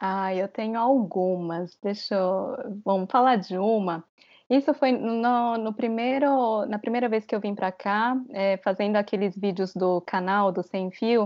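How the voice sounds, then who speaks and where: A woman talks in a normal speaking voice at a fairly slow pace. Her pitch is medium, with ordinary pitch variation. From Brazil. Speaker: travel content creator. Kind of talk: interview.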